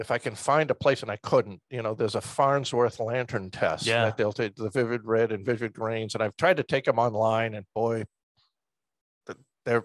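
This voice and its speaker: A man with an ordinary speaking voice talks at a moderate pace and medium pitch with fairly even intonation, in a dry, close sound with no echo against a quiet background. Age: 60s. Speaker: retired military veteran and professor, private helicopter pilot. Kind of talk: interview answer.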